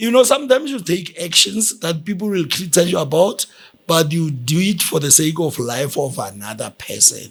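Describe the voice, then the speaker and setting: A high-pitched man at a moderate pace, with very wide pitch swings. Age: 60s. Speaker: guest, host's father. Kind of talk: casual chat.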